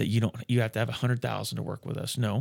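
Speaking very fast, a man uses a medium pitch. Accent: American. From rural Nebraska. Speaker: financial planner. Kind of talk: casual chat.

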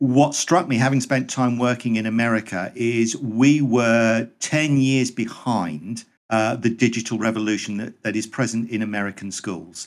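Here is a man with an ordinary speaking voice, medium pitch and ordinary pitch variation, talking at a moderate pace with hardly any pauses. The recording is very clean, with a silent background. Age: 50s. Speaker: teacher. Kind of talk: casual chat.

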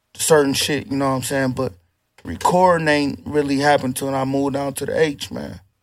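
Here is a man with an American accent and an ordinary speaking voice. He talks fairly quickly at a fairly high pitch, with fairly even intonation. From Toledo, Ohio, US Midwest. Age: 30s. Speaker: rapper. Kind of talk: casual chat.

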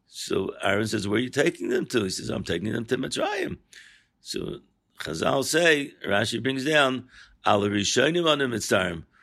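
Bright and sharp in tone, a man with an American accent speaks at a moderate pace and medium pitch, with lively intonation and vocal fry. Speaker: rabbi giving weekly Torah talk. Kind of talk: Torah lecture.

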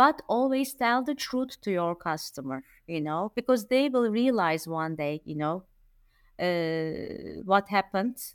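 In a Turkish accent, a woman speaks at a fairly slow pace and medium pitch with very wide pitch swings, on a very clean recording with a silent background and a dry, close sound with no echo. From Turkey. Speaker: event planner. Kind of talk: casual chat. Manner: halting.

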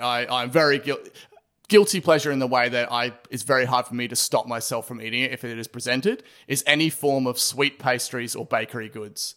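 With an Australian accent, the voice has a bright, sharp tone, ordinary pitch variation and a fairly quick pace on a very clean recording with a silent background. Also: man. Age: 30s. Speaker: podcast host and drummer, designer. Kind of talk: casual chat.

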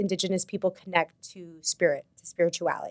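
With an American accent, a woman uses a plain, everyday voice at medium pitch with fairly even intonation, and the sound is dry and close with no echo. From New York City. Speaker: yoga and meditation teacher, retreat co-founder. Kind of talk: casual chat.

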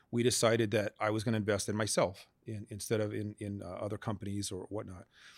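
On a very clean recording with a silent background, a man with an American accent talks in an unremarkable speaking voice, fairly low in pitch. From Las Vegas, Nevada. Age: 50s. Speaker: business owner and accountant. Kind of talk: interview.

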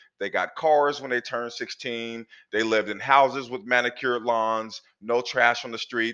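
With an American accent and an unremarkable speaking voice, a man talks at a medium pitch and a moderate pace with fairly even intonation. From US Pacific Northwest, Portland, Oregon. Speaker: author and speaker, former prisoner. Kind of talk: interview, personal testimony.

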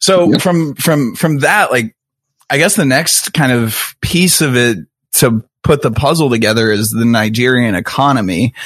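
An American-accented man speaks at medium pitch and a moderate pace, his tone animated and his intonation lively. His loudness stays very even against a quiet background. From Kansas City, US Midwest. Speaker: podcast host. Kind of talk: casual interview conversation. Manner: casual, jokey, animated.

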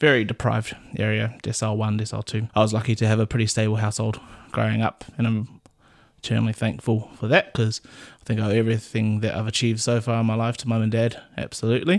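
On a very clean recording with a silent background, a man speaks very fast at a medium pitch in a monotone with flat intonation. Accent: New Zealand. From New Zealand, Auckland. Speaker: paediatric doctor. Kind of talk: casual chat.

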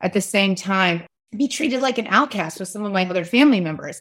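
Speaking very fast, a woman uses an American accent at medium pitch. The recording is very clean, with a silent background. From US South, West Virginia. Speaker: author and parenting advocate. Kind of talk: interview conversation.

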